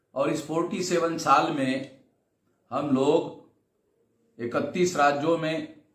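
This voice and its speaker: Long, frequent pauses break up fairly even intonation, with audible room echo in the recording. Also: man, fairly high pitch for a man. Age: 60s. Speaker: social movement leader. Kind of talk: recorded video address.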